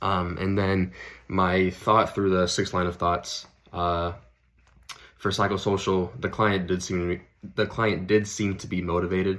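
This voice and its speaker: Monotone, flat intonation in a very clean recording with a silent background. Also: man, very deep, low pitch for a man. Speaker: student clinician (physical therapy/training). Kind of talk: self-assessment reflection; role-play client interview. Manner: many filler words (um, like).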